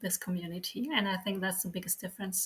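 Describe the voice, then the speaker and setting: A woman talks with a German accent. Her tone is bright and sharp. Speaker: sociologist and church outreach worker. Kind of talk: interview. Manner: hesitant, many fillers.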